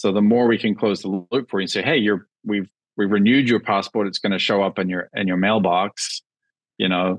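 Against a quiet background and a dry sound with no echo, a man with a slight New Zealand accent talks at a moderate pace, fairly low in pitch with fairly even intonation. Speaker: startup founder; guest. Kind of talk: casual interview. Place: home room. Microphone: earbuds.

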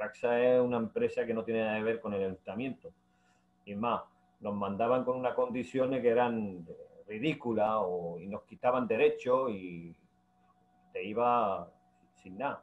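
At a moderate pace, a man talks with long, frequent pauses, big swings in loudness, and ordinary pitch variation. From Ceuta. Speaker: municipal worker and union member; guest. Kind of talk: interview. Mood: indignant, complaining. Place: home room. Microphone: video call.

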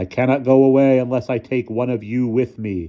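In a growling put-on character voice, a man talks at a fairly quick pace and medium pitch. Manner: growling, menacing.

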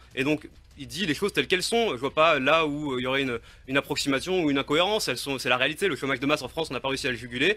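A man talks at a very fast pace in a fairly high voice. His tone is bright and sharp, with ordinary pitch variation. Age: 30s. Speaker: political candidate. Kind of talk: radio interview.

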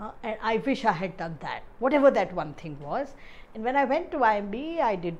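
Fairly high female voice, its pitch swinging very widely. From India, Ahmedabad. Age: 50s. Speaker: professor. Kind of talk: interview. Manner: halting, many fillers.

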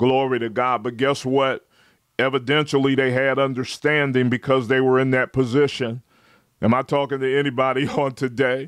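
In a dry recording with no echo and a quiet background, a man talks at a moderate pace with monotone, flat intonation. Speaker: preacher. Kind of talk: live-streamed sermon with call-and-response. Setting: online livestream. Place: home room. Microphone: studio mic.

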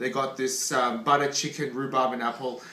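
Audible room echo hangs around the voice. The man keeps his intonation fairly even. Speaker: food vlogger. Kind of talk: casual vlog chat. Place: home room. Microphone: phone near.

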